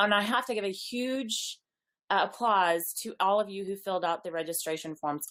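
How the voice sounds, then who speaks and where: A woman with an ordinary speaking voice, medium pitch and ordinary pitch variation. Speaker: network marketing business leader. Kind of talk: online webinar presentation.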